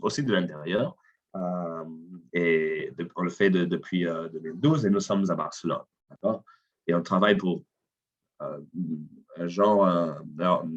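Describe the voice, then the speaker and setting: With a non-native accent and long, frequent pauses, a man speaks fairly slowly in a very deep, low voice with ordinary pitch variation. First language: not French (speaking French). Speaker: CEO of an innovation consultancy. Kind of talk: webinar presentation. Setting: online webinar. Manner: halting, many fillers and repetitions.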